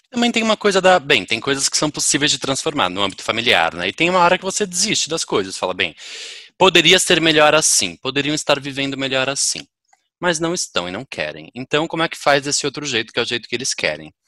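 A man talks at a very fast pace in a fairly high, bright, sharp voice with vocal fry. His pitch swings very widely, and the sound is dry and close with no echo. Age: 30s. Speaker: podcast guest. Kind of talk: casual chat.

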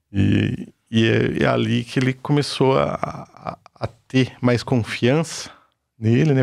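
A man speaks at a fairly slow pace. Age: 50s. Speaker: construction worker. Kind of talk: testimony.

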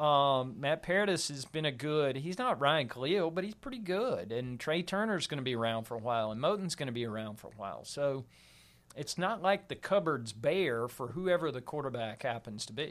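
In a very clean recording with a silent background, a man talks at a moderate pace in an ordinary speaking voice, fairly high in pitch, with lively intonation. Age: 40s. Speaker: football writer. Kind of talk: casual chat.

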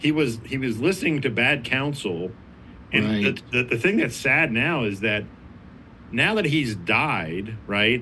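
Bright, sharp tone at a fairly slow pace, with audible room echo. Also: man, medium pitch for a man. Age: 40s. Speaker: addiction ministry leader. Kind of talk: casual chat. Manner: halting, many repeated words.

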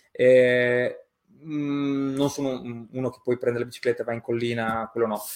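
A man speaks in a monotone, flat intonation while his loudness swings widely. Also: medium pitch for a man, fairly slow pace. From Romagna, Italy. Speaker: graphic designer and illustrator. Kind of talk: casual interview. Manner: hesitant, many fillers.

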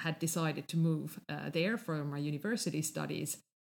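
A woman with a Finnish accent speaks at a moderate pace in a fairly low voice with ordinary pitch variation. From Finland. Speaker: podcast host. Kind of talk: casual chat.

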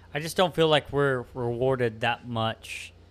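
A man in a Texan accent, fairly slow in pace, with ordinary pitch variation, on a very clean recording with a silent background. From Texas Hill Country. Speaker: podcast host.

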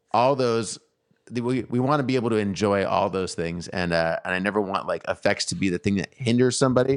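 This man sounds animated, talking at a fairly quick pace with a medium pitch and ordinary pitch variation. The background is quiet, and the sound is dry and close with no echo. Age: 40s. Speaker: podcast host and guitar teacher. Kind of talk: casual chat.

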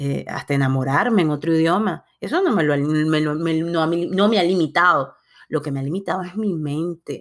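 A woman with a very deep, low voice talks at a moderate pace with ordinary pitch variation. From Latin America. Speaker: podcast host. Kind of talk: motivational monologue.

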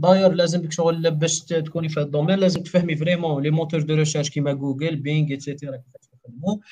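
Very fast and with hardly any pauses, a man talks in a dark, mellow, fairly high voice with monotone, flat intonation. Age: 20s. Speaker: web developer. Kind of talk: casual interview.

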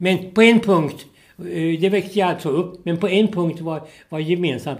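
The man keeps a moderate pace. His pitch moves with ordinary variation. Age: 80s+. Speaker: retired sports journalist and veteran orienteer. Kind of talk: interview. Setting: in person at his home. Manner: halting, repeats words.

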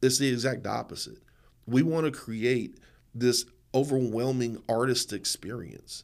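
A man with an American accent speaks at a fairly slow pace in a normal speaking voice. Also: very clean recording, silent background. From Eastern North Carolina, US. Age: 40s. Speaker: nonprofit founder and performance poet. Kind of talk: podcast interview.

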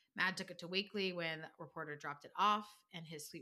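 A woman with a fairly low, bright, sharp voice talks at a fairly quick pace. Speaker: podcast co-host and interviewer. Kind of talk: casual chat, book summary.

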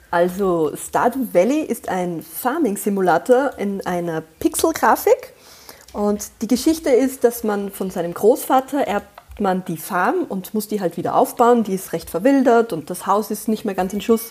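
Her pitch fairly high, a woman speaks at a fairly slow pace with lively intonation. Noticeable background noise runs underneath. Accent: slight Austrian. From Austria. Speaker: podcast guest, mother. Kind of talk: casual chat.

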